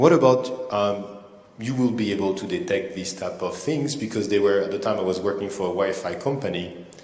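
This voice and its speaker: Amid noticeable background noise and audible room echo, the speaker talks at a moderate pace with ordinary pitch variation. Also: man. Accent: French. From France. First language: French. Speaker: cybersecurity engineer. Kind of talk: conference talk. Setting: stage with audience. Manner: hesitant, many fillers.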